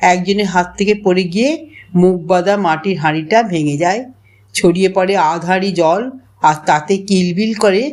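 The delivery is plain reading aloud with ordinary pitch variation.

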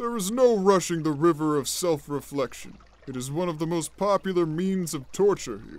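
Using a put-on character voice, a man speaks at a high pitch. The pace is moderate. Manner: casual, dry, offhand.

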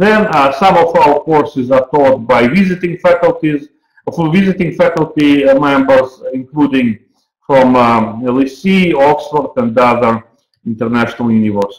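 A man with a fairly high pitch speaks at very even loudness, with audible room echo and a quiet background. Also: ordinary pitch variation, fairly slow pace. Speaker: university program director. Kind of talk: webinar presentation. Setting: online webinar. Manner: halting, with frequent fillers. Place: office. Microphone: webcam.

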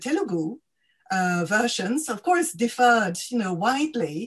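Speaking fairly slowly, a woman uses a fairly high pitch that swings very widely. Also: quiet background. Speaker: academic co-convener; event host or moderator. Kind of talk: webinar discussion. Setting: video call. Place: home room. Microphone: video call.

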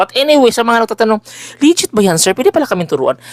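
With very wide pitch swings, a man speaks in a dry, close recording that has no echo. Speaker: spiritual healer and oil seller. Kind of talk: promotional vlog monologue. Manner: loud; animated.

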